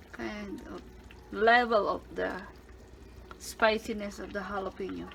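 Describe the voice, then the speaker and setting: A woman's voice over noticeable background noise. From Philippines. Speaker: home cooking channel host. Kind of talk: cooking tutorial. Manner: casual, halting.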